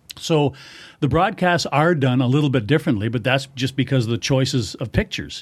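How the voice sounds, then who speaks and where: In a very clean recording with a silent background, a man with a Canadian accent speaks fairly quickly, somewhat breathy, at a medium pitch with ordinary pitch variation. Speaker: hockey radio play-by-play announcer. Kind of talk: casual interview chat.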